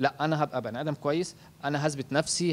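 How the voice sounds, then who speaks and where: Fairly high-pitched male voice. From Egypt. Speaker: husband of the graduate, raised in an orphanage; interviewee. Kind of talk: interview testimony. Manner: halting, repeats words. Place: home room. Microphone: handheld.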